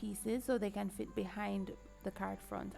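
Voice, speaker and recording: Behind a woman's speech, music plays in the background. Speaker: card maker. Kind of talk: craft tutorial talk to camera.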